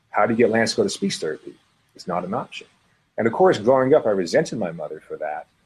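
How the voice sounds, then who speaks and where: A man with an American accent, very fast pace and big swings in loudness. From US West (Montana and Utah). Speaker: former pro basketball player, entrepreneur. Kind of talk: interview. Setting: video call.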